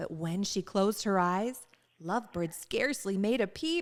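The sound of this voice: Lively intonation at a fairly slow pace. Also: woman, medium pitch for a woman.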